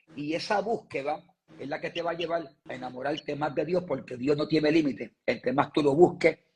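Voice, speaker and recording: Fairly quick and somewhat breathy, a man speaks at a fairly high pitch with ordinary pitch variation. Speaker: evangelist preacher. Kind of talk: interview. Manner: fluent when speaking of God.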